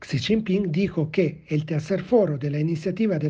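A man with a dark, mellow tone talks fairly slowly, his pitch varying in an ordinary way. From Italy. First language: Italian (speaking Spanish). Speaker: historian, political analyst. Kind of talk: prepared commentary.

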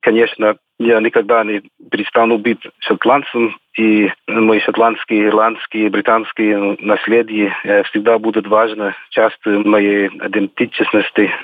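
A very slow, flat, monotone man's voice, fairly low in pitch, in an English accent. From Scotland. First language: English (speaking Russian). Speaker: former railway engineer, immigrant. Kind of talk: interview.

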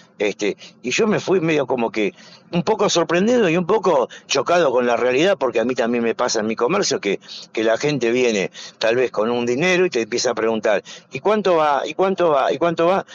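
A man talks fairly quickly. His fairly high voice rises and falls very widely. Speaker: shopkeepers' association president. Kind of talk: interview. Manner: halting, many fillers.

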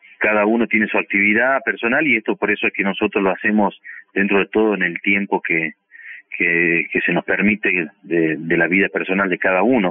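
Fairly quick speech from a man at a fairly low pitch with ordinary pitch variation. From Argentina, Salta province. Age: 40s. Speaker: oral surgeon. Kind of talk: interview. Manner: halting, with fillers.

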